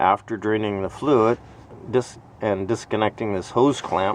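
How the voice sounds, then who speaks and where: The sound is dry, with no echo. A man speaks at a moderate pace and a fairly low pitch. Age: 60s. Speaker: DIY car repair vlogger. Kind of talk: tutorial. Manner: casual, thinking aloud with hesitations. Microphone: phone near.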